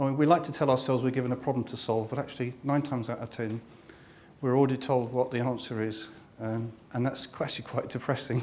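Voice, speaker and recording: Over noticeable background noise, a man with a London accent talks very fast at medium pitch in a monotone, flat delivery. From London, England. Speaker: workshop facilitator and author. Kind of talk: workshop talk. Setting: meetup room with live audience. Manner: hesitant, many fillers.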